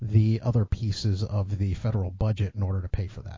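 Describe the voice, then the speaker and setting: Intonation stays fairly even. The voice is somewhat breathy. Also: man. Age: middle-aged. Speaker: podcast host. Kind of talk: casual chat.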